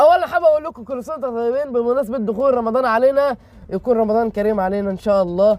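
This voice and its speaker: A man talks at a very fast pace with hardly any pauses. His pitch is extremely high, with ordinary pitch variation. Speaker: wrestling show recap youtuber. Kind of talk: show recap narration.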